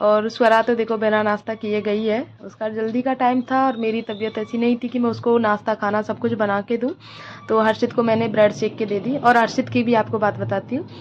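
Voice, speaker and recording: Fairly high-pitched woman's voice, monotone and flat, at a moderate pace with hardly any pauses, over noticeable background noise. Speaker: housewife vlogger. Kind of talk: casual vlog monologue.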